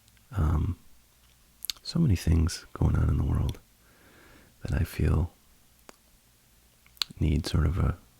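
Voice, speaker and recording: A man speaks soft-spoken and fairly slowly at a very deep, low pitch, calm and relaxed, with fairly even intonation and long, frequent pauses. Noticeable background noise is present. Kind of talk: ASMR reading of a Reddit post with commentary. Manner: soft-spoken, calm, relaxed.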